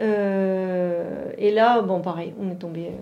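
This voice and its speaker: Her medium-pitched voice stays monotone and flat, with audible room echo around the woman speaking. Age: 40s. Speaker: mother of a child with Down syndrome. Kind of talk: interview testimony. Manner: halting.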